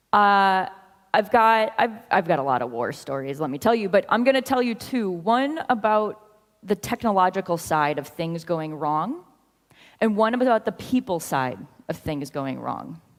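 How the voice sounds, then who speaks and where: Pitch swings very widely in an American accent. The pace is moderate. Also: woman, medium pitch for a woman. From US Midwest. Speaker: software consultant, conference speaker. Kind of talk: conference talk. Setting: stage with audience.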